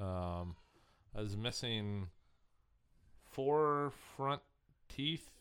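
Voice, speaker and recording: A man with an American accent, medium pitch and lively intonation, at a very slow pace with long, frequent pauses. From Indiana. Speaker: beer sales worker. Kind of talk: casual chat.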